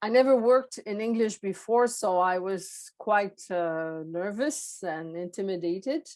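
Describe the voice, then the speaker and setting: A woman with a Quebec accent talks at a fairly slow pace with lively intonation. She leaves hardly any pauses. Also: medium pitch for a woman. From Quebec, Montreal. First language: French. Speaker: former public service executive and coach. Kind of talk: podcast interview. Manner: halting, many fillers.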